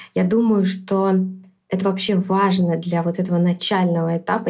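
A woman's somewhat breathy, medium-pitched voice with monotone, flat intonation at a fairly quick pace. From Belarus, Minsk. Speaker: product manager and startup founder. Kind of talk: podcast interview. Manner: hesitant, with filler sounds.

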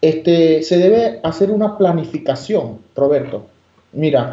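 Fairly slow delivery from a man, dark and mellow in tone, with ordinary pitch variation. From Venezuela, Margarita Island. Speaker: immigration lawyer. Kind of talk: interview. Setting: phone call. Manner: halting, many fillers.

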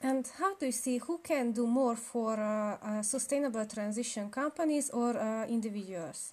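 A woman with a Hungarian accent and a fairly high pitch talks at a moderate pace, with ordinary pitch variation and hardly any pauses. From Romania (Hungarian minority). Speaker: podcast host. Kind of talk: interview. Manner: hesitant, many fillers.

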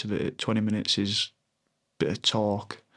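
A man speaks with a Yorkshire accent at a moderate pace. The recording is very clean with a silent background. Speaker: former professional rugby player. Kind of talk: casual chat. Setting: in person at host's home. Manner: halting.

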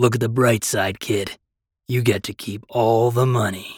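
Putting on a character voice, a man speaks at a moderate pace and medium pitch in a raspy, flat monotone. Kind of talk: rustic.

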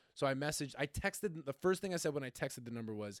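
Talking at a very fast pace, a man uses a medium pitch and lively intonation, with a dry, close sound and no echo. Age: 20s. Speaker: podcast co-host. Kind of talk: casual chat.

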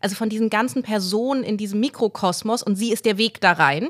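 A woman has a normal speaking voice at a fairly high pitch, with ordinary pitch variation. The recording is very clean, with a silent background. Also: dry, close sound with no echo. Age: 30s. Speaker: novelist and journalist. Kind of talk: interview.

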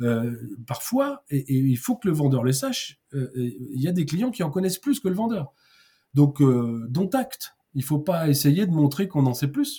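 A man's somewhat breathy voice, dark and mellow in tone, with lively intonation at a fairly slow pace. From Paris region, France. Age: 50s. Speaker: sales trainer and consultant. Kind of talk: interview. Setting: podcast. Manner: halting, many repetitions and fillers.

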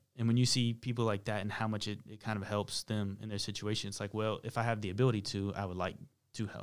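Talking at a very fast pace, a man holds a flat monotone. The recording is very clean, with a silent background. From US South, Charlotte, North Carolina. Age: 30s. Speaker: music mixer and producer. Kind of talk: interview.

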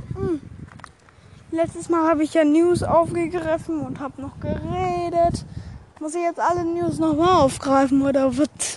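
Speech comes at a fairly slow pace with long, frequent pauses against noticeable background noise. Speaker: podcast host. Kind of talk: casual solo podcast. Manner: rambling, hesitant.

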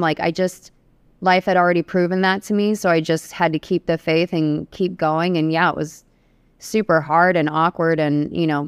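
In a very clean, dry, close recording with no echo and a silent background, a woman speaks with a Californian accent. Her fairly low voice is monotone and flat, at a moderate pace. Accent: General American (Californian). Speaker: realtor. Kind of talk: casual interview chat.

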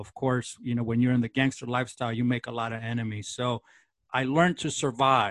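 A man with an American accent talks at a fairly quick pace in an ordinary speaking voice at medium pitch. The sound is dry and close with no echo, over a quiet background. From East Los Angeles, US. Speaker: TV host. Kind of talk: interview, personal testimony.

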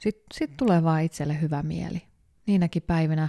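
In a dry, close sound with no echo, a woman speaks at a very deep, low pitch and a moderate pace, with a relaxed tone and fairly even intonation. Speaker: yoga teacher and podcast host. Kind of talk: casual morning monologue. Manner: relaxed, with fillers and laughter.

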